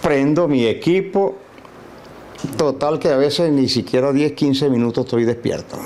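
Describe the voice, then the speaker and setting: A man's lively intonation comes through despite noticeable background noise. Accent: Lara Venezuelan. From Venezuela, Barquisimeto. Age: 70s. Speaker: physician and musician. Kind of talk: interview. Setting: at home.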